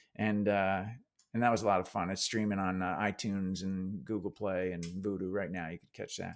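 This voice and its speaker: A man with a New Jersey accent talks at a fairly quick pace in a very deep, low voice with monotone, flat intonation. His loudness swings widely, on a very clean recording with a silent background. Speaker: actor. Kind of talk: interview.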